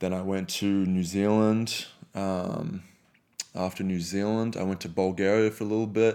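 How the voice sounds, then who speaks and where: Fairly low in pitch, a man talks in a dark, mellow tone at a moderate pace. His intonation stays monotone and flat. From Australia. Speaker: retired basketball pro going into ministry. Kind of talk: casual interview chat.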